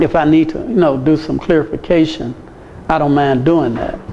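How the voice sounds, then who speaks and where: Amid noticeable background noise, a man speaks at fairly high pitch with ordinary pitch variation. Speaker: medical missionary teacher. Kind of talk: lecture.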